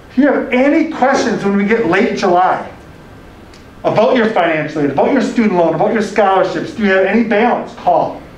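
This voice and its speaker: The speaker talks at a fairly quick pace with lively intonation, and room echo is audible. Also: man, high pitch for a man. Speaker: college admissions director. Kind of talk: orientation presentation. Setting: room with audience, also streamed on camera. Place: classroom. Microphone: camera far.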